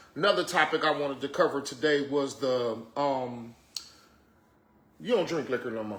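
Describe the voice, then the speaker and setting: A man talks at a moderate pace, leaving long, frequent pauses. His voice is fairly high, with ordinary pitch variation. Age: 30s. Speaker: podcast host. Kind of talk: casual chat. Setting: studio.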